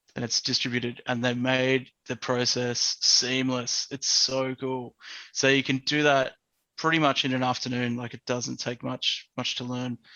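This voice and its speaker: A man's medium-pitched voice at a fairly slow pace, with monotone, flat intonation and an Australian accent. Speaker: educational technologist. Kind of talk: casual interview chat.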